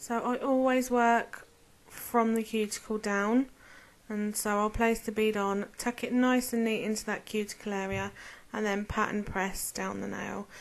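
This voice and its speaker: A mumbling woman with a British accent, fairly high in pitch and fairly slow, her intonation monotone and flat, against a quiet background. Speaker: nail artist. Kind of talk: tutorial. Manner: casual.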